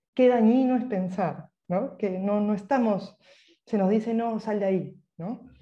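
Her tone is dark and mellow, somewhat breathy, at a medium pitch. The woman speaks at a fairly slow pace with ordinary pitch variation. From Peru. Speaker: writer. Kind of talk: interview.

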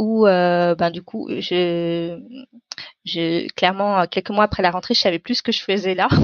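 A woman's fairly slow speech with ordinary pitch variation. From Paris suburbs, France. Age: 30s. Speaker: climate activist and entrepreneur. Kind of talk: interview. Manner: hesitant, many fillers.

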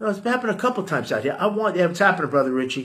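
Speaking with a New York accent, a man uses a high pitch and lively intonation. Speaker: podcast host. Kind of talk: casual rant. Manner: animated; halting repetitions.

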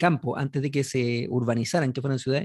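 Talking at a very fast pace, a man speaks in a Chilean accent. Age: 40s. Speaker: podcast host. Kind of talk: casual chat. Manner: animated.

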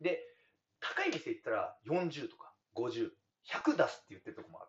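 At a fairly quick pace, a man speaks. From Hokkaido. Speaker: dairy farmer. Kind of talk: casual chat. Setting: on-site at his farm.

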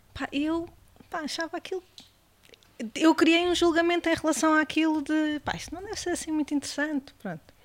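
With an extremely high pitch and fairly even intonation, a woman speaks at a fairly quick pace broken by long, frequent pauses, in a dry, close sound with no echo. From Portugal, Beira Alta (Mangualde, near Viseu). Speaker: gastronome, hospitality professional. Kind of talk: casual chat over wine. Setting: seated at a table with hosts.

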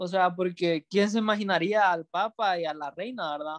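His voice is high for a man. The pitch moves in an ordinary way. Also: dry, close sound with no echo. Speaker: podcast co-host, graphic designer. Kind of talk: casual chat. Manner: halting, many repetitions.

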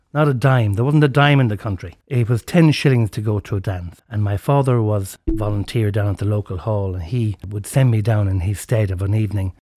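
A man with an Irish accent, somewhat breathy, with a dark, mellow tone and fairly low pitch, ordinary pitch variation, a fairly quick pace and hardly any pauses, in a dry, close sound with no echo on a very clean recording with a silent background. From Ireland. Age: 60s. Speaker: podcast host. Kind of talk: storytelling monologue.

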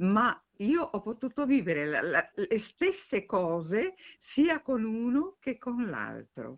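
A woman at a very slow pace, with very wide pitch swings. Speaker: retired opera soprano. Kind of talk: interview. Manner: halting, repeats words.

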